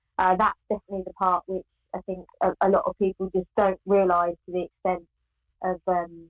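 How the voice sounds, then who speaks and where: In a British accent, a woman speaks at a moderate pace with a medium pitch. The sound is dry and close, with no echo. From UK. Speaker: pro bodybuilder and CrossFit athlete. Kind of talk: interview answer.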